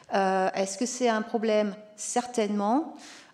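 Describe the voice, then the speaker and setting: A woman talks fairly slowly in a fairly high voice. Her intonation stays fairly even. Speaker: geriatric physician and professor. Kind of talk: conference talk. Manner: loud.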